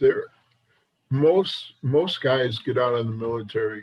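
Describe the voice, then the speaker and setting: A somewhat breathy male voice at a moderate pace. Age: 60s. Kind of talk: casual chat.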